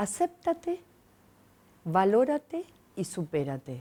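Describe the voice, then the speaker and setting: The voice belongs to a woman. Her tone is dark and mellow. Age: 60s. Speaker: enneagram coach and speaker. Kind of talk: TV interview.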